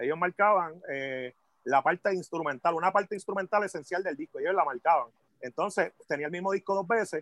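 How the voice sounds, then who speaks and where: Speech comes at a fairly quick pace with a Puerto Rican accent and ordinary pitch variation. The sound is dry and close, with no echo. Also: man, high pitch for a man. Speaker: hip hop MC. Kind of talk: casual chat.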